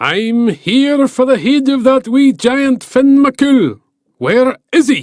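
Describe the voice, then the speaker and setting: This man uses a put-on character voice. It is extremely high-pitched and very slow. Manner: menacing.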